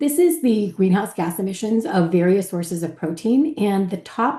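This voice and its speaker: Over a quiet background, a woman with a medium pitch speaks in a dark, mellow tone that is somewhat breathy. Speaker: physician. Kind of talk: panel presentation. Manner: fast.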